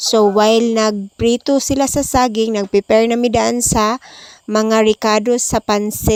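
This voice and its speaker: Soft-spoken and fairly slow, a woman with a fairly high pitch talks in a monotone, flat intonation at very even loudness, in a dry, close sound with no echo. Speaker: vlogger. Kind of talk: vlog narration. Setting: voice over at night. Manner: soft-spoken, kept quiet.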